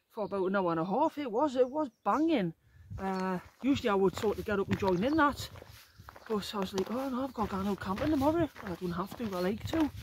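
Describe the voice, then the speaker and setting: A woman talking at a very fast pace, somewhat breathy, with lively intonation, dry sound with no echo and light background noise. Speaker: solo hiker vlogger. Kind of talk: casual vlog chat. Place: forest. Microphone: phone near.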